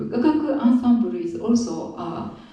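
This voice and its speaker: A woman in a Japanese accent, with audible room echo and noticeable background noise. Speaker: traditional musician. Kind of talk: spoken introduction at concert. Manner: halting, many fillers.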